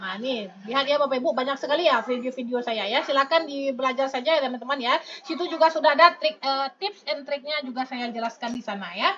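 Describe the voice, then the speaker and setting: Over noticeable background noise, a woman speaks at a very fast pace with hardly any pauses, her pitch high and her pitch variation ordinary. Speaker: online exam-prep tutor. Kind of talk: live stream tutorial answering chat. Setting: live stream. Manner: lively, chatty with many fillers.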